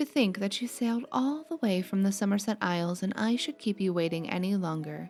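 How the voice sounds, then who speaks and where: A soft-spoken woman at a moderate pace, with music in the background. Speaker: ASMR gaming narrator. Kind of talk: reading aloud. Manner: relaxed.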